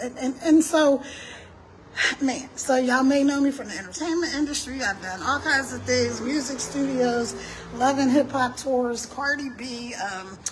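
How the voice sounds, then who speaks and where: A woman with a high pitch and ordinary pitch variation speaks in an animated tone at a moderate pace, her loudness swinging widely, over noticeable background noise. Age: 60s. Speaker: entrepreneur and live streamer. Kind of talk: casual live stream talk. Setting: outdoors walking on a street.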